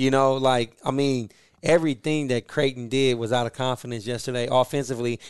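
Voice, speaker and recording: The man's voice sits at medium pitch with monotone, flat intonation. He talks at a fairly quick pace in a dry, close sound with no echo. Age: 30s. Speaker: sports podcast co-host. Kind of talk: interview; casual chat. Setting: hotel room.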